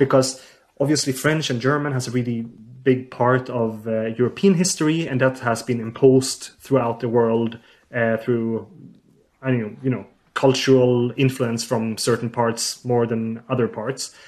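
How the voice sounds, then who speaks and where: A man with a Swedish accent at medium pitch, moderate pace, and fairly even intonation. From southern Sweden. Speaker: linguistics researcher. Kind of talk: interview.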